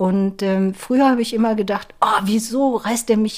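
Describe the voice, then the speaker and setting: On a very clean recording with a silent background, a woman speaks at a fairly slow pace. Her voice has a fairly high pitch, a dark, mellow tone and ordinary pitch variation. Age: 60s. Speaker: tango dancer, association volunteer. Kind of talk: casual interview.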